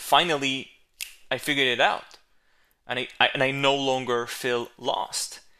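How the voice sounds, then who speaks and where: In an Israeli accent, the voice has a bright, sharp tone against a quiet background. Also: man. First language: Hebrew. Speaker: videographer. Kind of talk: solo podcast monologue. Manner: hesitant, with fillers and repetitions.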